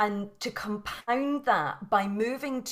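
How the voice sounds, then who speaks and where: Her Scottish accent clear, a woman speaks with ordinary pitch variation. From Scotland. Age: 40s. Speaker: yoga and mindset teacher. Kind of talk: interview. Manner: halting, many repetitions.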